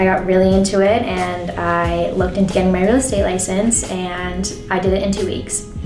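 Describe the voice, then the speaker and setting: Music plays in the background and the room echo is audible as a woman with an American accent speaks at a medium pitch. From Maine, US (Scarborough/Saco area). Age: 20s. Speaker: real estate agent. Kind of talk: interview. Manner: casual.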